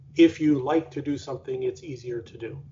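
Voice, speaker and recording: A man's fairly high, somewhat breathy voice with an American accent, at a fairly quick pace. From Pittsburgh, Pennsylvania. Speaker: university research executive, physicist. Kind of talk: interview.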